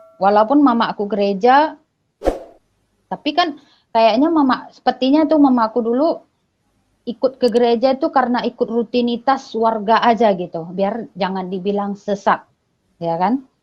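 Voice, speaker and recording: Pitched fairly high, a woman's voice moves along at a moderate pace. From Batak, North Sumatra, Indonesia. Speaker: religious convert. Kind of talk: testimony.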